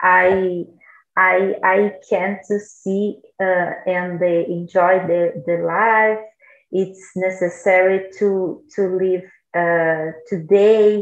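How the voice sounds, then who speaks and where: A woman's medium-pitched voice with a Portuguese accent, monotone and flat in intonation, at a very slow pace. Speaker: language learner. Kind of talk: casual chat. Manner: halting.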